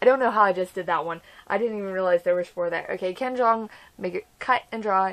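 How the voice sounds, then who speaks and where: A woman at medium pitch and a fairly quick pace, on a very clean recording with a silent background. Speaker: vlogger. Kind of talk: casual vlog monologue. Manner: fast; animated.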